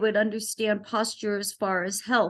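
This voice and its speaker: A woman with a fairly high pitch against a quiet background. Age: 60s. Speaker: wellness entrepreneur and health activist. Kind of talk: informal presentation.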